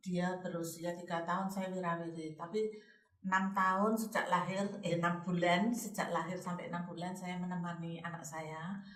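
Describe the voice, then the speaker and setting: Audible room echo surrounds a woman speaking at a moderate pace. Her voice is fairly low with flat, monotone intonation. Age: 60s. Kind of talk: casual chat.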